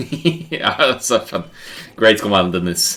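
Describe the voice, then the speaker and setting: In a very clean recording with total silence behind it, the speech goes at a medium speed. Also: man. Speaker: esports caster. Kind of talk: live commentary. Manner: loud.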